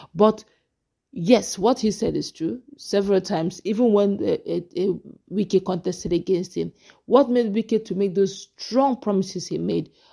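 Recorded very cleanly against a silent background, a woman with vocal fry and a dark, mellow tone speaks at a moderate pace, medium in pitch with ordinary pitch variation. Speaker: political commentator. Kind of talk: interview. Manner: animated.

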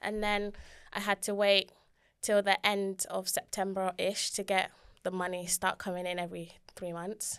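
A woman talks at a moderate pace with a medium pitch. Her intonation stays flat and monotone over a quiet background. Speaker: university student; guest. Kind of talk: casual personal story. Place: studio. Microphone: studio mic.

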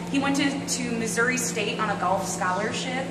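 A woman speaks at a moderate pace. Loud background noise is present. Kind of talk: interview answer. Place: factory.

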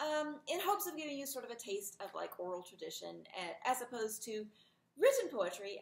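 A woman speaks at a fairly quick pace, with audible room echo around her voice. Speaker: English instructor. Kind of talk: lecture recap to students. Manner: casual, hesitant. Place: home room. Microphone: webcam.

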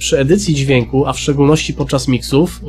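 Faint music plays in the background. The intonation stays fairly even. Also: man. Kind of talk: tutorial. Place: home room. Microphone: studio mic.

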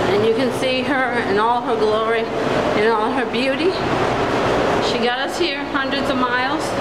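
Loud background noise surrounds a woman speaking at a moderate pace. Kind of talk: casual vlog chat. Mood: cheerful, proud of car. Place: street. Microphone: phone near.

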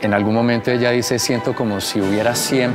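A man speaks at a fairly quick pace. Clear music plays behind him. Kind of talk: interview answer. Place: workshop.

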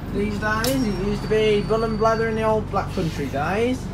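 Loud background noise fills the recording. Through it, a man speaks at a moderate pace. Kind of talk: casual commentary. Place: bus. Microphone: phone near.

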